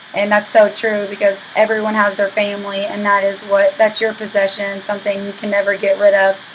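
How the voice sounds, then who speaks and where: At a fairly quick pace, a woman speaks with a medium pitch and monotone, flat intonation over noticeable background noise. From Oklahoma (Madill, small town). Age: 20s. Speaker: university student. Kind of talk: class introduction video. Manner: casual, with fillers.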